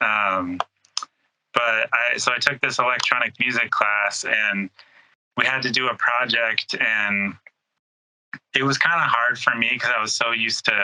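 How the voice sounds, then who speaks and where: In an American accent, a man talks at a moderate pace with a medium pitch and fairly even intonation. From San Jose, California, US. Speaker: music producer and DJ. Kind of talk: casual interview chat.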